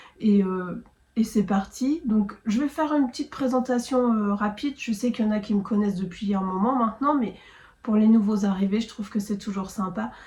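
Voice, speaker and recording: A woman speaks at a moderate pace with a fairly high pitch and ordinary pitch variation. Noticeable background noise runs beneath her. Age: 40s. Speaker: knitting vlogger, foster carer. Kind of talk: casual vlog monologue. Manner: hesitant, many fillers.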